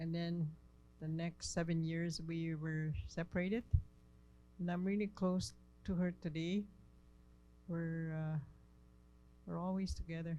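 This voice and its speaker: Pauses come often and run long. The delivery is fairly slow. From northern Manitoba, Cree community. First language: Cree. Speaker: workshop participant. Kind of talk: testimony.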